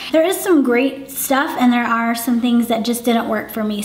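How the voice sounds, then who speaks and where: A woman with a high pitch speaks at a moderate pace. There is audible room echo and noticeable background noise. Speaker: beauty vlogger. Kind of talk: product review. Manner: casual, conversational.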